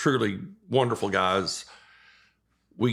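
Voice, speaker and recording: A man speaks in a Texan accent with a bright, sharp tone. His intonation is fairly even. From East Texas. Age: 60s. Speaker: retired fishing guide. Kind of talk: casual chat.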